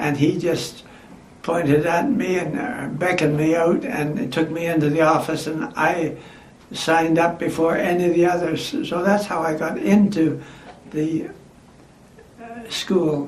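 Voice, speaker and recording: A man with a Canadian accent at high pitch, fairly slow pace with long, frequent pauses, over noticeable background noise. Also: ordinary pitch variation. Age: 80s+. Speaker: former aircraft mechanic; World War Two veteran worker. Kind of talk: oral history interview answer.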